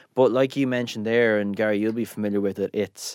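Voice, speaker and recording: Close and dry with no echo, a man talks at a fairly quick pace in an Irish accent. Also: very clean recording, silent background. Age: 30s. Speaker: chef. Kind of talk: interview.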